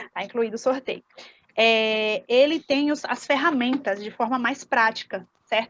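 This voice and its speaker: A woman keeps a fairly slow pace while her voice sits at a high pitch. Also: ordinary pitch variation. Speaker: parenting educator, workshop instructor. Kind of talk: online workshop lecture.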